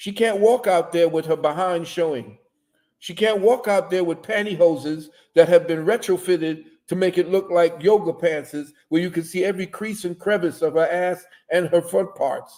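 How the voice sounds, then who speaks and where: At a moderate pace, a man speaks at a high pitch with ordinary pitch variation and a dark, mellow tone. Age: 70s. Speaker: lecturer on spiritual and social topics. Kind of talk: livestream interview. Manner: animated.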